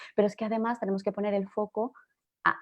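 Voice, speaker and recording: A woman with a Castilian accent speaks at a fairly quick pace. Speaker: journalist and digital transformation consultant. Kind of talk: panel discussion. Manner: fast; animated.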